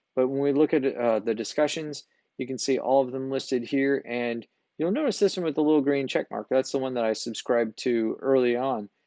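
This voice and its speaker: The man speaks fairly quickly, his medium pitch showing ordinary variation. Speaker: art instructor. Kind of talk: course orientation tutorial. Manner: fast.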